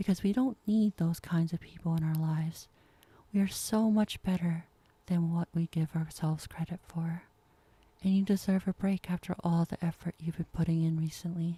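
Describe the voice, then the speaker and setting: Dry and close with no echo, a woman's somewhat breathy voice sits at a fairly low pitch. She keeps a moderate pace and fairly even intonation. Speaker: ASMR performer. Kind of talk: ASMR girlfriend comfort roleplay.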